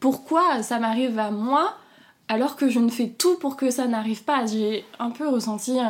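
Very slow, high-pitched speech from a woman, her pitch varying in an ordinary way. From southern France. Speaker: interviewee sharing abortion experience. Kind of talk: personal testimony. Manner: halting, with many repetitions.

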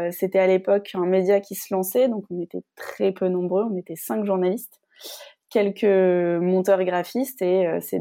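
The sound is dry and close, with no echo. A woman speaks in a dark, mellow tone with fairly even intonation. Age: 30s. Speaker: former journalist turned fitness coach. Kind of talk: testimony interview.

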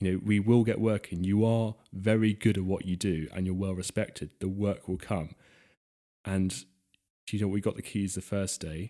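Over a silent background in a very clean recording, a man with an English accent speaks at a moderate pace in a dark, mellow tone with monotone, flat intonation. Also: fairly low pitch for a man. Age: 20s. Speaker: classic car restorer. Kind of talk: casual chat.

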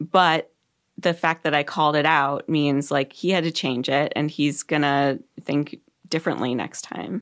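A woman's very deep, low pitch with fairly even intonation, in a very clean recording with a silent background. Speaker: podcast host and author. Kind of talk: casual interview.

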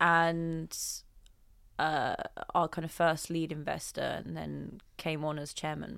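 In a London accent, a woman speaks very slowly with long, frequent pauses on a very clean recording with a silent background. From Southeast London. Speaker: entrepreneur. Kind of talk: interview. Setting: studio. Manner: thoughtful, deliberate; occasional stutter.

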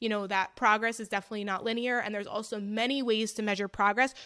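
At a very fast pace, a woman speaks with a fairly high pitch and a bright, sharp tone on a very clean recording with a silent background. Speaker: registered dietitian. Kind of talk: interview.

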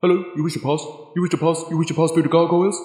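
A put-on character voice rattles along at a very fast pace in a flat, monotone intonation, with slight echo. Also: man, high pitch for a man. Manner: stilted, repeating the question.

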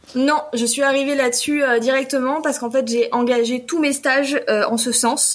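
The intonation holds fairly even. Background noise is noticeable throughout. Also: woman. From southwest France, Pau. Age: 30s. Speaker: self-employed pastry chef. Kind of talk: podcast interview. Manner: laughs often.

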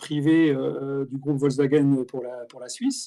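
With a fairly high pitch, a man talks in a dark, mellow tone. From France, Alsace (Strasbourg). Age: 50s. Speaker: automotive industry executive. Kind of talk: casual interview. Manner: halting, many fillers and repetitions.

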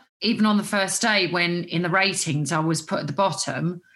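The tone is bright and sharp, in an Essex accent with ordinary pitch variation. Delivery is at a moderate pace over a quiet background. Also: woman. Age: 40s. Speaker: celebrity, reality show contestant. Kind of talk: casual chat.

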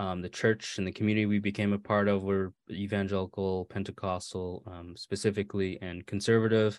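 With hardly any pauses, a man talks at a fairly quick pace in a fairly low pitch and monotone, flat intonation, the sound dry and close with no echo. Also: big swings in loudness. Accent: American. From Maine, US (born California). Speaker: author. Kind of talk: interview.

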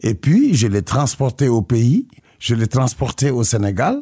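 In a dark, mellow, somewhat breathy voice of medium pitch, a man speaks at a very slow pace with very wide pitch swings, the sound dry and close with no echo on a very clean recording with a silent background. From Senegal, Casamance. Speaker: musician. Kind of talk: radio interview. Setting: studio. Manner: halting.

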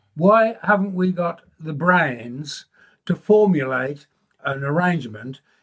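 Speaking very slowly, a man with a high pitch uses lively intonation. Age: 80s. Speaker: retired listener, husband of care home resident. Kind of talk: interview. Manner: strong and defiant.

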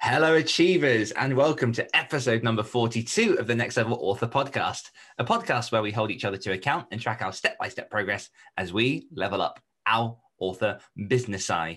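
Putting on a character voice, a man speaks huskily at a fairly quick pace, his pitch medium and his intonation lively. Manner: groggy morning voice.

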